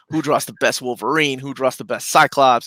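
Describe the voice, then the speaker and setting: At a fairly quick pace, a man with a bright, sharp tone is heard dry and close with no echo on a very clean recording with a silent background. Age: 40s. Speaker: comic book collector and YouTuber. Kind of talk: casual chat. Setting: live stream.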